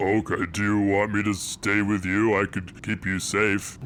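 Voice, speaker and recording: In a put-on character voice, a man talks at a moderate pace with a fairly low pitch and monotone, flat intonation, with clear background noise behind him. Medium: actual play. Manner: cheerful.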